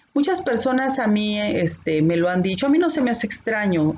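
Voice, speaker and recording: With lively intonation, a woman talks at a moderate pace against noticeable background noise. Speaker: bible teacher. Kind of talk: bible class. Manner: can sound stern or scolding.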